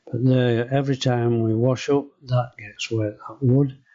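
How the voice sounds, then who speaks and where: A man with a Yorkshire accent speaks at a medium pitch and a fairly slow pace, his intonation flat and monotone. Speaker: home renovation vlogger. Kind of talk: casual video walkthrough. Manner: halting, hesitant.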